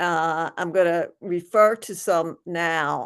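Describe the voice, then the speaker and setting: In a Philadelphia accent, a woman speaks at a very slow pace with fairly even intonation. Her pitch is fairly low, and the background is quiet. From Philadelphia, US. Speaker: workshop facilitator. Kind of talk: online workshop talk. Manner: halting, many fillers and restarts.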